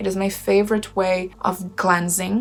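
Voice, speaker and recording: Noticeable background noise runs under speech that moves at a very slow pace. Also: woman. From Brazil. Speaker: witch and tarot reader, channel host. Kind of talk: reading aloud and commentary. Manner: casual with filler words.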